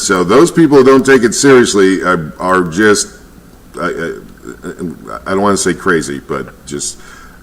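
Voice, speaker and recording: Speaking at a fairly slow pace with an American accent, a man uses a fairly low pitch, vocal fry, and very wide pitch swings. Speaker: weather reporter. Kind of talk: live weather commentary.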